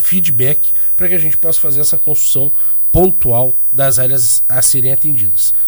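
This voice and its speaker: At a fairly slow pace, a man with a somewhat breathy voice and ordinary pitch variation speaks on a very clean recording against a silent background. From Rio Grande do Sul, Brazil (Canguçu). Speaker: state government adviser. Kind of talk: radio interview. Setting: radio studio.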